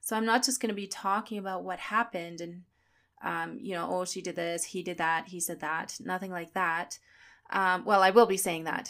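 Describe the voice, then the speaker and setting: Big swings in loudness mark a woman's normal speaking voice, medium in pitch, with ordinary pitch variation at a moderate pace. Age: 30s. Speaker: podcast host and personal trainer. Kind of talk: personal monologue.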